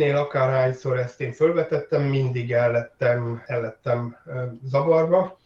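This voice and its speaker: A somewhat breathy man talks in a fairly high pitch with ordinary pitch variation. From Hungary. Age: 50s. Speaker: tabletop role-playing game designer. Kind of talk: interview. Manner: halting, many fillers.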